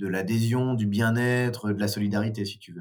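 A man's fairly low voice at a moderate pace. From northern France. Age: 30s. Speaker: third-place researcher and musician. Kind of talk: podcast interview. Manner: hesitant with fillers.

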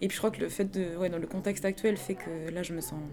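A woman's dark, mellow voice at a moderate pace, with fairly even intonation. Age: 20s. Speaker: interviewee. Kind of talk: testimony.

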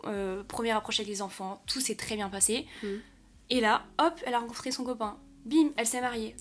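Music plays in the background as a woman speaks, her fairly high pitch moving with ordinary pitch variation. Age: 20s. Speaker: content creator. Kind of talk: casual chat.

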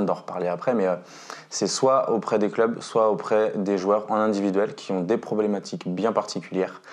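Delivered at a moderate pace, the man's speech has a monotone, flat intonation. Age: 20s. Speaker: mental coach and basketball instructor. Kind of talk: interview. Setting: at the guest's home.

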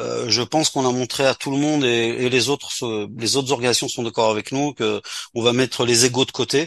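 At a fairly quick pace, a man with a medium pitch speaks in a monotone, flat intonation, the sound dry and close with no echo. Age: 60s. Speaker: community organisation leader. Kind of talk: radio interview. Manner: halting.

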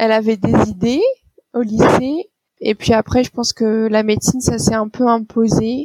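A woman's fairly high voice stays in a monotone with flat intonation, in a dry, close sound with no echo. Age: 30s. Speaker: doctor. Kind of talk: interview.

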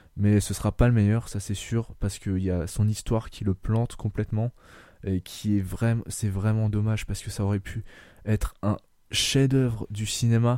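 In a dark, mellow tone, a man speaks at a moderate pace and fairly low pitch with monotone, flat intonation. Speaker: podcast host. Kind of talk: casual chat.

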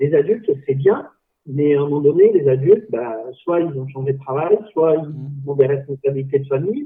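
Using a normal speaking voice, a man talks at a fairly high pitch with ordinary pitch variation. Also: moderate pace. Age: 40s. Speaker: dodgeball club president. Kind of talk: casual chat.

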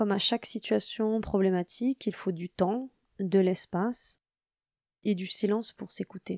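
A woman's medium-pitched voice at a fairly slow pace with long, frequent pauses and fairly even intonation, in a very clean recording with a silent background and a dry, close sound with no echo. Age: 40s. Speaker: podcast host, mother of a deaf child. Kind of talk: personal narration.

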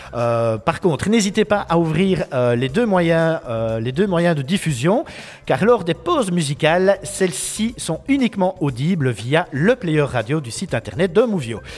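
A high-pitched man at a fairly slow pace, his pitch swinging very widely, with noticeable background noise. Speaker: web radio host. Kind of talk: live radio show. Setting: school classroom. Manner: loud.

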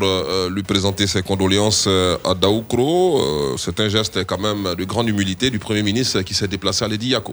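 In a normal speaking voice, a man talks at a fairly slow pace with fairly low pitch and ordinary pitch variation. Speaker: radio host. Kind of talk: satirical news talk show.

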